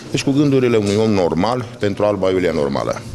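There's light background noise as a man talks at a very fast pace. His pitch is very deep and low. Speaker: candidate. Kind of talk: interview answer. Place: office. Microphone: handheld.

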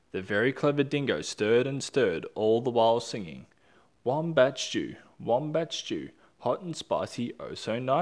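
This is plain reading aloud.

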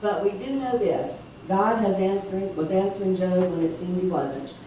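There is audible room echo and light background noise as a woman speaks at a moderate pace with ordinary pitch variation. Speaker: preacher. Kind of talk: sermon. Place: church. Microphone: camera far.

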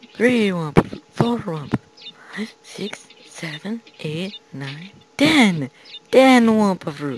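A man does a put-on character voice, high for a man, moving at a very slow pace with long, frequent pauses. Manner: exaggeratedly counting, theatrical.

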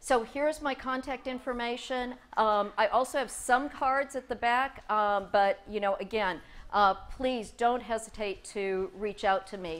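Fairly slow delivery from a woman, her pitch varying in an ordinary way. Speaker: presenter. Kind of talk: conference presentation. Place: hall.

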